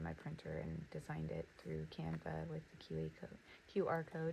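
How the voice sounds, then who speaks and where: Soft-spoken and fairly quick, a woman talks with an American accent. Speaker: notebook designer and small business owner. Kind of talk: casual crafting demo. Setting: home studio. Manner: soft-spoken, keeping voice down.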